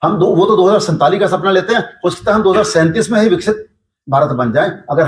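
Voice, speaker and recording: A man with a high pitch, talking at a moderate pace. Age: 60s. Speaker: yoga teacher and local businessman. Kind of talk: interview.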